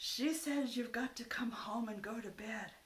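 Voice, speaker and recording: In a put-on character voice, a woman speaks at a moderate pace with a raspy, fairly high pitch and ordinary pitch variation. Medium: read story. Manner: folksy, drawling.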